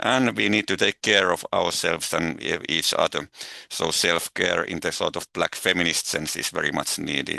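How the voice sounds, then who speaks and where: A man with a Finnish accent, a very deep, low pitch, a bright, sharp tone, vocal fry, lively intonation and a moderate pace. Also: dry, close sound with no echo. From Finland. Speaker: eco-anxiety researcher. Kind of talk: webinar talk. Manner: halting.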